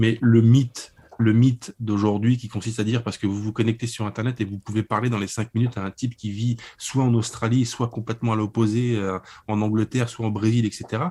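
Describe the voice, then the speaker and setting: Here a man speaks in a dark, mellow tone. His intonation is monotone and flat. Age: 30s. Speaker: publisher and writer. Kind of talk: interview about a book. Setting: internet call.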